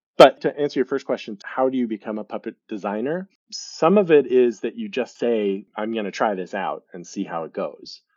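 Talking at a moderate pace, a man with an American accent uses a medium pitch, lively intonation, and big swings in loudness. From US Midwest (Lincoln, Nebraska). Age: 30s. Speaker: professional puppeteer. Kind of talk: casual interview.

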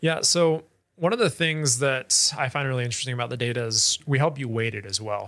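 With an American accent, this man has a plain, everyday voice at a medium pitch, ordinary pitch variation and a fairly quick pace. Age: 20s. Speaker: startup founder. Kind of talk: interview.

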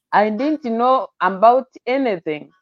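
The sound is dry and close with no echo as a woman speaks. She goes at a very slow pace with ordinary pitch variation. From Kenya. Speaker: pastor. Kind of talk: testimony.

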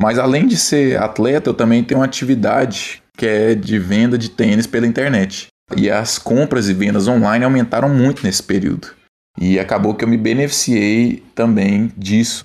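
Medium pitch and ordinary pitch variation in a man's voice, an ordinary speaking voice. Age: 30s. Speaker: professional volleyball player. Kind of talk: testimony.

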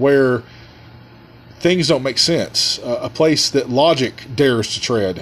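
Loud and fairly high in pitch, a man speaks at a fairly slow pace with ordinary pitch variation over noticeable background noise. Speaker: podcast host and musician. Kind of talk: casual monologue. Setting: studio with headphones.

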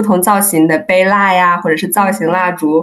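Using an unremarkable speaking voice, a woman of medium pitch talks at a moderate pace with fairly even intonation. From China, Hunan. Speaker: candle maker, market stall seller. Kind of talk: casual interview chat.

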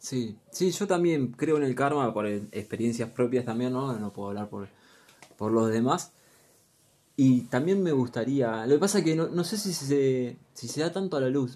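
A man's medium-pitched voice with a Rioplatense accent, a dark, mellow tone, lively intonation and a fairly slow pace. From Argentina, Luján (Buenos Aires province). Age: 20s. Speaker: podcast co-host. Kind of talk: casual chat.

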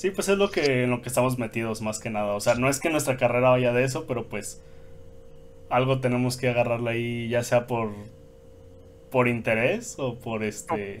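This is a man with an unremarkable speaking voice at a medium pitch. His pace is moderate and his pitch variation ordinary. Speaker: podcast co-host. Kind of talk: casual chat.

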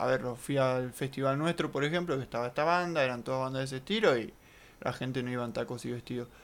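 This man speaks at a medium pitch in a Rioplatense accent. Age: 20s. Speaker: podcast co-host. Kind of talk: casual chat.

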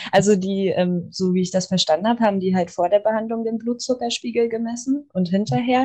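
A somewhat breathy woman with a dark, mellow tone talks at a medium pitch and a fairly quick pace, using ordinary pitch variation. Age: 20s. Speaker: medical assistant and Reiki student. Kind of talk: casual interview. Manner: hesitant, many fillers.

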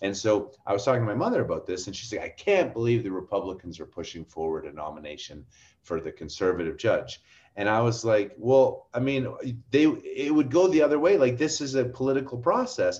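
A man speaks in a somewhat breathy voice with very wide pitch swings. His loudness rises and falls sharply. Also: medium pitch for a man, fairly quick pace. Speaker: oil and gas industry commentator. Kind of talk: casual interview chat.

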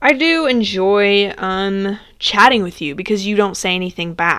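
Very clean and with a silent background, the recording carries a plain, everyday voice whose intonation is lively. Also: woman. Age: 20s. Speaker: solo podcast host. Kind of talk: casual monologue. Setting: home recording, sitting in bed.

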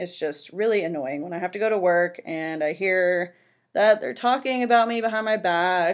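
With a Californian accent, a woman speaks at a medium pitch. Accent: Californian American English. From San Francisco Bay Area. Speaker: podcast host, financial planner. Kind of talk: casual monologue.

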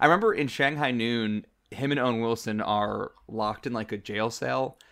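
A man with an American accent speaks at a medium pitch and a fairly quick pace in a plain, everyday voice. The recording is very clean, with a silent background. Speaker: podcast co-host. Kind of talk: casual chat.

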